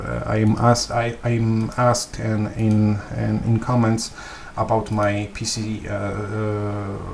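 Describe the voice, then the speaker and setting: Over noticeable background noise, a man talks very slowly in a monotone with flat intonation. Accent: Polish. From Poland. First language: Polish. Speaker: gaming video creator. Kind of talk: tutorial. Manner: halting, many fillers and repetitions.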